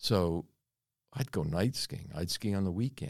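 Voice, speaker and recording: Recorded very cleanly against a silent background, a man with an American accent speaks in a very deep, low pitch with lively intonation. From US, Florida (born Pennsylvania), later Canada. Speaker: mining company founder. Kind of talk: interview.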